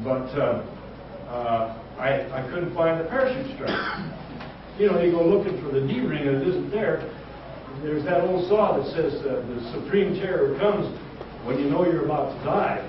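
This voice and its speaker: A man talks at a moderate pace in a high pitch, with very wide pitch swings and long, frequent pauses. Noticeable background noise and audible room echo fill the recording. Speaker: war veteran. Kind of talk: lecture. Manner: halting.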